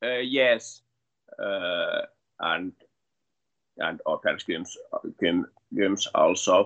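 Very slow speech from a man with a Finnish accent, broken by long, frequent pauses. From Finland. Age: 20s. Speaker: MMA fighter. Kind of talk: interview. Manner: halting.

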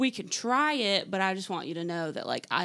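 A woman's pitch swings very widely. The recording is very clean with a silent background. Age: 20s. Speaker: hand-lettering artist and small business owner. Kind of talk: interview.

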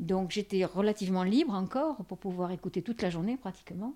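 A woman with a dark, mellow tone speaks at a medium pitch and a moderate pace, with ordinary pitch variation, in a very clean recording against a silent background. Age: 70s. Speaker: interviewee. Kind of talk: casual chat. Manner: halting.

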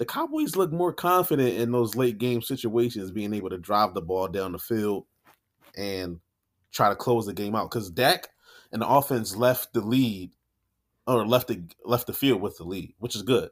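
A man speaks in a normal speaking voice at a medium pitch. He keeps a moderate pace with lively intonation. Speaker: fantasy football podcast co-host. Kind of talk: casual chat. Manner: joking, laid-back.

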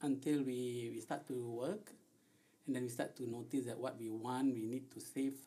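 A man with a medium pitch talks at a moderate pace. His dark, mellow tone carries fairly even intonation. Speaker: podcast co-host. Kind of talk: casual chat.

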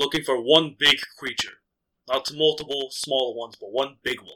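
Using a put-on character voice, a man speaks at a moderate pace. His pitch is medium. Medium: actual play. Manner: terse, focused, impatient.

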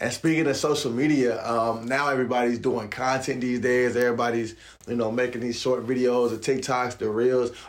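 Energetic in tone, a man speaks at medium pitch and a fairly quick pace amid audible room echo. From Raleigh, North Carolina. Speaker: podcast host. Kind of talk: interview.

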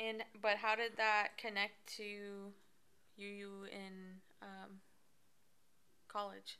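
A woman with an American accent speaks at a very slow pace in a medium pitch with a bright, sharp tone, flat monotone intonation, big swings in loudness, and long, frequent pauses. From Arizona. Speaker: podcast co-host and interviewer. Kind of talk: casual chat.

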